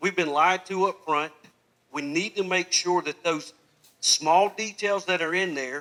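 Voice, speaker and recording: A loud man's voice, high in pitch and bright and sharp in tone, with ordinary pitch variation at a fairly slow pace. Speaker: political candidate. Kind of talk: campaign speech.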